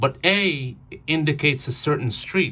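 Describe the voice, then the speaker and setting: A non-native accent and ordinary pitch variation in a man's voice. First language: not English. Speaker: new mail carrier. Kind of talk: home tutorial. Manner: halting.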